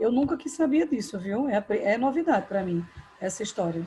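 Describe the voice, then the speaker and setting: A soft-spoken woman at a fairly high pitch and a moderate pace. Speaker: school English teacher. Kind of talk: online class. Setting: video call from home.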